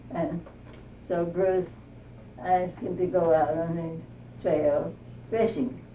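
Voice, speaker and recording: A woman with a fairly low pitch, at a very slow pace with long, frequent pauses, ordinary pitch variation and audible room echo. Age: 90s. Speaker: oral history interviewee. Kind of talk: oral history interview. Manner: halting.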